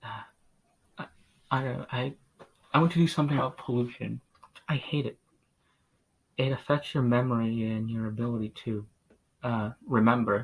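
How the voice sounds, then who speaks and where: A man talks at a moderate pace and medium pitch, somewhat breathy, with fairly even intonation and long, frequent pauses. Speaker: vlogger. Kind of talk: casual monologue. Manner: halting, many pauses; mumbling at times. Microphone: poor sound quality.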